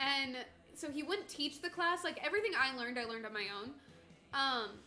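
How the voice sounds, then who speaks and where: Over music in the background, a woman speaks in a raised, projected voice at a high pitch, fairly quick and with lively intonation. Room echo is audible. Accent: slight northern US. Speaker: streamer co-host. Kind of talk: casual chat.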